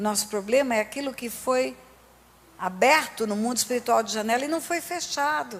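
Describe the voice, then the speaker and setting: There is noticeable background noise as a woman talks at a moderate pace. Her fairly high voice has an animated tone and lively intonation. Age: 60s. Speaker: pastor. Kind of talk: sermon.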